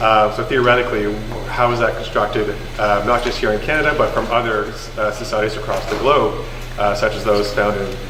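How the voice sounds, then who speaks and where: Audible room echo and noticeable background noise sit behind the recording. A man talks at a fairly quick pace. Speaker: government policy advisor on identity law. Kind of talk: public presentation at community session. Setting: community hall with audience. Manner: halting, many fillers and repetitions.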